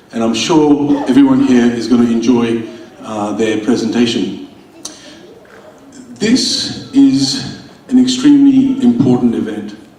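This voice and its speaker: There is audible room echo and noticeable background noise. A man speaks with long, frequent pauses. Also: fairly slow pace. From India. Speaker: state politician. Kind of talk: welcome speech at event. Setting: stage with audience.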